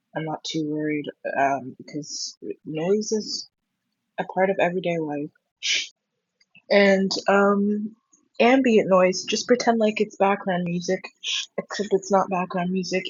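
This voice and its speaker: A somewhat breathy woman at a very slow pace, with long, frequent pauses and ordinary pitch variation. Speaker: vlogger. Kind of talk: casual monologue. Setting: at home in own room. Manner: halting. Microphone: poor audio quality.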